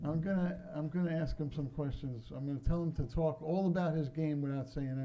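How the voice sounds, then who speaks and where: A man talks fairly quickly at a fairly high pitch, his voice somewhat breathy. His tone is dark and mellow, and the room echo is audible. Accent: Brooklyn. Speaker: pinball company owner. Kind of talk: convention talk to audience. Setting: stage with audience. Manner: casual, joking.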